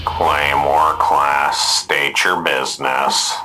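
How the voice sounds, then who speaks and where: A man's put-on character voice at a very slow pace, with clear background noise. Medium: audio drama. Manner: flat, officious.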